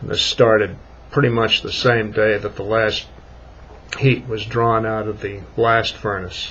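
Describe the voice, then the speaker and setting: Speaking at a fairly slow pace, a man holds a medium pitch in a monotone, flat intonation. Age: 60s. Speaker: vlogger. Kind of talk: casual monologue. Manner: halting.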